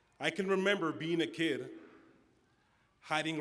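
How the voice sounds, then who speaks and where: A man talks at a moderate pace. Audible room echo surrounds his voice. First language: Spanish. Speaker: student commencement speaker. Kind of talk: commencement speech. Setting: auditorium stage with audience.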